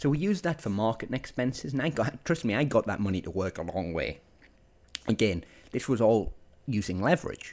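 In an animated tone, a man at a medium pitch talks at a fairly quick pace with very wide pitch swings. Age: 20s. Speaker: podcast host, entrepreneur. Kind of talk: solo podcast monologue.

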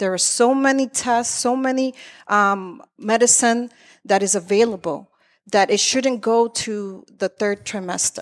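A woman with an American accent in an ordinary speaking voice, at a fairly slow pace with ordinary pitch variation, on a very clean recording with a silent background. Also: fairly high pitch for a woman. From Lawrence, Massachusetts. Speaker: activist running for state senate. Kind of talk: political debate. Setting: studio with live audience.

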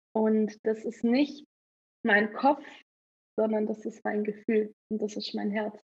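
Speaking very slowly with long, frequent pauses, a woman uses a fairly high, somewhat breathy voice in a flat monotone. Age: 20s. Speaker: photographer and horse trainer. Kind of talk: interview outtakes.

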